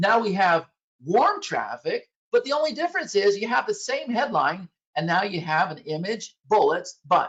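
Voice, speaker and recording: A woman speaks loudly at a fairly slow pace. Her fairly high pitch makes very wide swings. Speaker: software presenter. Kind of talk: sales presentation.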